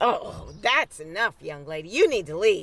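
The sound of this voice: A woman uses a put-on character voice with fairly low pitch, big pitch swings, a slightly husky edge and a fairly bright tone. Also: moderate pace.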